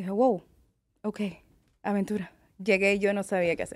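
Fairly even intonation in a woman's voice of medium pitch. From California. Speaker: makeup artist. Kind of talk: interview. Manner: halting.

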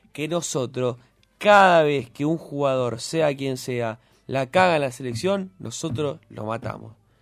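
With a normal speaking voice, a man talks at a fairly slow pace, using a fairly high pitch and ordinary pitch variation. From Buenos Aires (Floresta, raised in Lugano). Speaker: radio co-host. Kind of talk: casual chat. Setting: radio studio.

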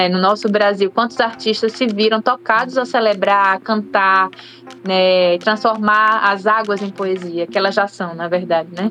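A woman with a normal speaking voice talks at a fairly slow pace in a medium pitch, her intonation fairly even. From Brazil, Aracaju, Sergipe. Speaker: singer. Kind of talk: radio interview.

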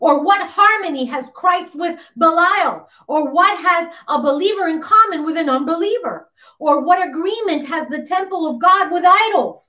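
The voice is raised and projected, with a stern, bright, sharp tone, ordinary pitch variation and a moderate pace. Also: woman, extremely high pitch for a woman. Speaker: pastor. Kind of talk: sermon. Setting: livestream on YouTube and Facebook; church. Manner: animated; insistent and stern, earnest.

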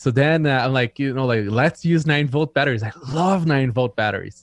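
A man talks fairly quickly, the sound dry and close with no echo. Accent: Brazilian. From Brazil. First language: Portuguese. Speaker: tech entrepreneur guest. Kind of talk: casual chat.

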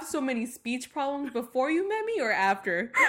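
A woman talks at a moderate pace in a high pitch. Her voice moves in very wide pitch swings. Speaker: podcast host. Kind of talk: casual chat.

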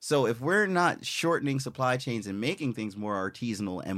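A man with an American accent speaks at a moderate pace and medium pitch, his intonation lively, in an unremarkable speaking voice. The recording is very clean, with a silent background. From US Virgin Islands (Saint Croix). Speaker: illustrator and Navy veteran. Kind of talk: casual interview chat.

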